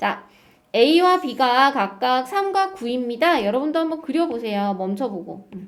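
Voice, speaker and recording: With an animated tone, a woman speaks high and fairly slowly, her pitch swinging very widely and her loudness rising and falling in big swings. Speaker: math teacher. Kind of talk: lecture.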